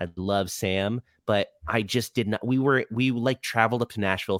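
An unremarkable speaking voice with an American accent at a moderate pace, dry and close with no echo, in a very clean recording with a silent background. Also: man. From Florida (Orlando). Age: 30s. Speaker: touring rock musician. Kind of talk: casual chat.

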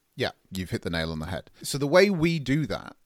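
A man with an English accent at medium pitch in a very clean recording with a silent background. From England. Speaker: digital agency owner. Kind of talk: podcast interview, explanatory.

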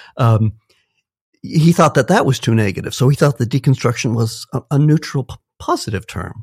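A man speaks at a moderate pace with lively intonation and a somewhat breathy voice, recorded very cleanly against a silent background with a dry, close sound and no echo. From US, moved around (Minnesota, California, Illinois, Texas). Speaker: philosophy professor. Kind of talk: interview.

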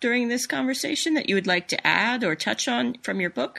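A woman speaks at a fairly quick pace. Her pitch sits fairly high. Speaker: podcast host. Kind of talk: interview.

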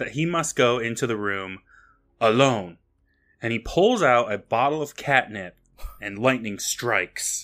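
With lively intonation, an unforced reading voice is heard against a quiet background.

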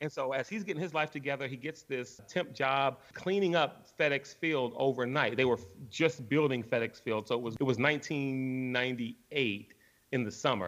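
A man with an American accent has an ordinary speaking voice at medium pitch. He talks at a moderate pace with ordinary pitch variation. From Washington, D.C. (Northeast). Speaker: sports radio broadcaster. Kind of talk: casual interview.

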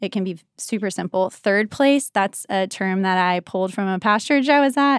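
In a very clean recording with a silent background, a woman with an American accent and a plain, everyday voice talks at a moderate pace and medium pitch, with ordinary pitch variation. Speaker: church ministry leader. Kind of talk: casual chat.

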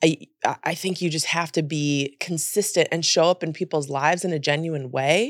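A woman with a plain, everyday voice and an American accent speaks at a fairly quick pace, her pitch fairly low with ordinary variation, on a very clean recording with a silent background. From US, mixed (California, Miami, Memphis). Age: 30s. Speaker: journalist and producer. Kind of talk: casual interview chat.

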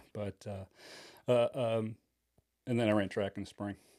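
On a very clean recording with a silent background, a man with a Midwestern American accent speaks at a moderate pace in a fairly low pitch and a dark, mellow tone with monotone, flat intonation. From Michigan, Kalamazoo area. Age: 50s. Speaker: high school football coach and teacher. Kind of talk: casual chat.

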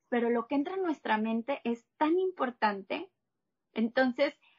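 This woman's voice sits high in pitch. She speaks fairly slowly. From Mexico, Monterrey. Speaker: health coach and plant-based chef. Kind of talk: interview conversation.

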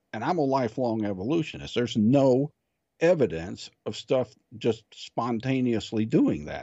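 The man's intonation is lively, his pitch medium. He uses a plain, everyday voice at a moderate pace. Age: 60s. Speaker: guest, electronics technician, amateur theology and science talker. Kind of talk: conversational interview on religion and science.

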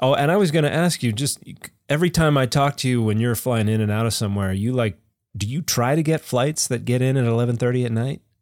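Talking at a very fast pace with very even loudness, a man is heard on a very clean recording with a silent background. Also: medium pitch for a man, ordinary pitch variation. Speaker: Bible scholar podcast co-host. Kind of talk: casual chat.

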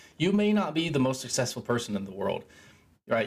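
A man speaks in a somewhat breathy voice. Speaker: self-help podcaster. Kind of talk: solo monologue. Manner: casual, rambling with filler words.

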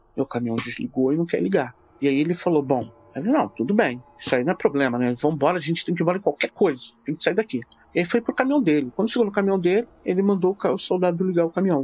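A man with a high voice talks very fast, his pitch swinging very widely, in a dry, close recording with no echo and music in the background. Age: 40s. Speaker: storyteller recounting his father's UFO encounter. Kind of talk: casual interview, storytelling.

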